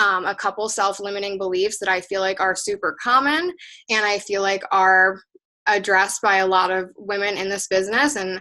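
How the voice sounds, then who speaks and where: Against a quiet background, a woman speaks at a medium pitch in a bright, sharp tone with ordinary pitch variation. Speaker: team leader coaching direct sales women. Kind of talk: motivational team call. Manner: fast.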